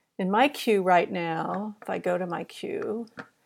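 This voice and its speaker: The woman speaks at a very slow pace. Her pitch varies in an ordinary way. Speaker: knitting podcast host. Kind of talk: casual chat.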